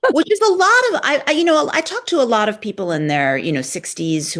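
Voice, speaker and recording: A woman talking at a very fast pace amid noticeable background noise. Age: 50s. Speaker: podcast host. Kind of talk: interview.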